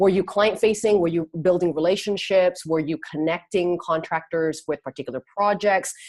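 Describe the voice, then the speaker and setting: A woman with a Canadian accent uses an ordinary speaking voice, fairly low in pitch with ordinary pitch variation, speaking with hardly any pauses in a dry, close sound with no echo. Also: moderate pace. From Canada, Vancouver. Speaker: career coach, entrepreneur. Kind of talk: interview.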